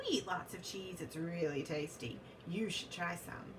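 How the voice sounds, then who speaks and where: A woman puts on a character voice at a moderate pace, her pitch fairly low, with loud background noise behind her. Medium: read story. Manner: friendly, cheerful.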